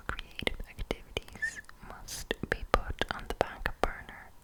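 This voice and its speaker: Whispering at a fairly slow pace, a woman is heard over noticeable background noise. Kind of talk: ASMR horoscope reading. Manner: whispered, close-up, crisp.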